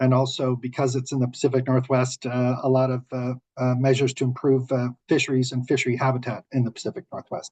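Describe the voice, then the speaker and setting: Dry and close with no echo, a man speaks at a very fast pace with hardly any pauses, in a medium pitch, with monotone, flat intonation and a somewhat breathy sound. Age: 60s. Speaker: renewable energy developer. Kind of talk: webinar panel discussion. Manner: halting.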